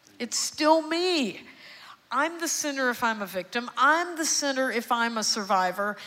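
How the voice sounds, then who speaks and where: A woman's high, bright, sharp voice, animated in tone, with lively intonation at a moderate pace. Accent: Texan. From Texas, Houston. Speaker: psychiatrist. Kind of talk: sermon-style testimony, evangelical preaching in full flow to a church congregation. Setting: church stage with congregation. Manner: animated, rising call-and-response cadence with rhetorical questions; emphatic repetition, building passion.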